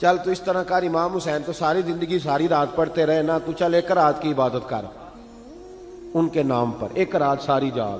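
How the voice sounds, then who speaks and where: Noticeable background noise runs under a man whose pitch is fairly high and varies in an ordinary way. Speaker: Islamic preacher. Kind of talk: religious sermon. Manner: passionate, conversational.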